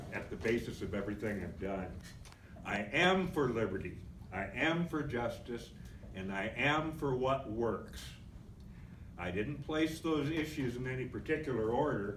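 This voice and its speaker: A medium-pitched man with lively intonation at a moderate pace, broken by long, frequent pauses, with audible room echo. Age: 70s. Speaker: political activist. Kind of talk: convention speech.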